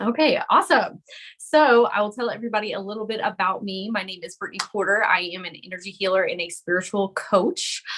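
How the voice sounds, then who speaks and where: A woman with a Southern US accent, medium pitch, a very fast pace and big swings in loudness. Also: ordinary pitch variation. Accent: Southern US (Georgia). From US South, Georgia. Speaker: spiritual coach and energy healer. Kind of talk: live-streamed group coaching. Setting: video call live stream.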